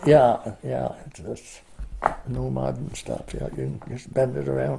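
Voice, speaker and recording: A man with an American accent speaks at a fairly slow pace. His loudness swings widely, and there is noticeable background noise. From New Hampshire, USA. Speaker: oral history interviewee, long-time resident. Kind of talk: oral history interview answer. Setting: at home, indoor interview.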